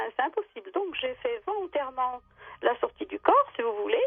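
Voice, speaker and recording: A woman talks at a fairly quick pace with very wide pitch swings. Noticeable background noise runs underneath. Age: 60s. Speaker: radio caller sharing paranormal testimony. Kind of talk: testimony. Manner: halting, many hesitations.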